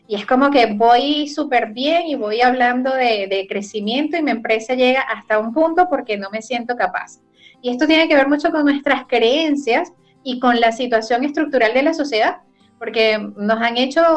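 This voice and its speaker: Music plays in the background as a woman speaks at a moderate pace. Her pitch is high, with ordinary variation. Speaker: radio host, professional. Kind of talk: radio talk show.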